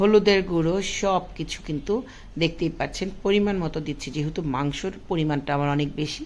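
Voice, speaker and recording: A woman with a fairly low pitch and ordinary pitch variation speaks in a plain, everyday voice. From Bangladesh, Dhaka. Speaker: cooking vlogger. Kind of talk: cooking tutorial narration.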